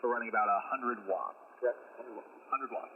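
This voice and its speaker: A man is speaking. Noticeable background noise is audible behind him. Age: 30s. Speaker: ham radio operator. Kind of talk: radio contact conversation. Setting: amateur radio transmission. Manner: halting, many fillers.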